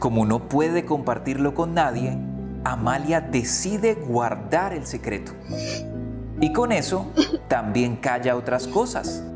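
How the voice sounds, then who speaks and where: Music plays in the background as a man speaks. He goes at a very slow pace with long, frequent pauses. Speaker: radio host. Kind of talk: children's story reading.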